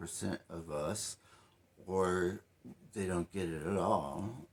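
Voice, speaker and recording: Very deep and low, a man's voice comes through in a very clean recording with a silent background. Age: 60s. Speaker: health advocate and vlogger. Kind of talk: personal testimony to camera. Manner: hesitant, many fillers and restarts.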